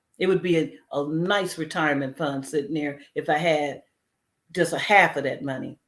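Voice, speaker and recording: A woman is speaking. Her pace is moderate. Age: 60s. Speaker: heart disease survivor sharing story. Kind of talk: testimony. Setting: community health event.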